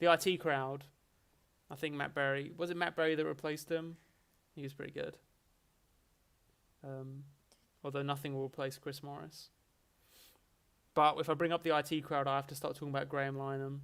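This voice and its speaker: A man with an Essex accent speaks in a monotone, flat way, leaving long, frequent pauses. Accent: mild Essex. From England, Essex. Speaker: streamer. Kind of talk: casual chat. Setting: livestream.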